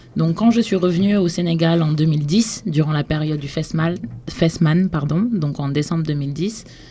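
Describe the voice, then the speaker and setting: Noticeable background noise behind a woman, fairly low-pitched, at a moderate pace. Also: ordinary pitch variation. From Senegal (Dakar). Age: 20s. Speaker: cultural entrepreneur, blog founder. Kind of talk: radio interview.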